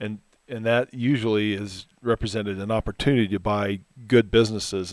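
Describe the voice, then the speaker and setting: A normal speaking voice at a moderate pace, fairly even in intonation, on a very clean recording with a silent background. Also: man. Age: 50s. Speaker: financial advisor. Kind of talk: casual chat.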